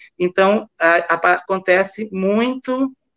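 A man with a high pitch talks with lively intonation. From Maranhão, Brazil (Bacabal). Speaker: visual artist and retired professor. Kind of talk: interview.

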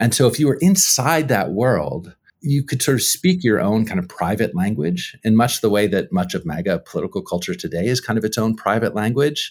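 With an American accent, a man talks at a fairly quick pace, his pitch swinging very widely. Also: medium pitch for a man, hardly any pauses. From US, socially conservative union area. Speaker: history professor. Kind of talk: casual interview.

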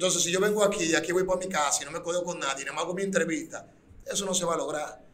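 A man with a high pitch and fairly even intonation at a very fast pace, with audible room echo and noticeable background noise. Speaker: urban music artist. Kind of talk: interview.

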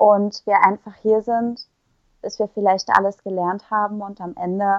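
A woman speaks at a medium pitch in a monotone, flat intonation. Her pace is fairly slow, and the sound is dry and close with no echo. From Saxony, Ore Mountains (eastern Germany). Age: young. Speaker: poet. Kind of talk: casual interview. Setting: remote recording.

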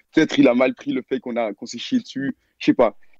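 Speaking at a fairly quick pace, a man delivers his words in a monotone, flat intonation. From Belgium. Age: young. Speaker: caller telling a story. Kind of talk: storytelling. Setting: online voice call.

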